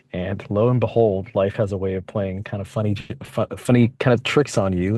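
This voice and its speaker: Speaking at a fairly quick pace, a man with a Californian accent keeps a fairly even intonation. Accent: Californian American English. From San Francisco, Bay Area (born in Mexico, moved at four). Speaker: interviewee, local community member. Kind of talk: casual interview. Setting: podcast recording.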